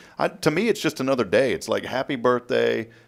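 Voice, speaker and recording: A man with an American accent and vocal fry speaks at a very fast pace and medium pitch in a very clean recording with a silent background. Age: 40s. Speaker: morning show host. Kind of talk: casual chat.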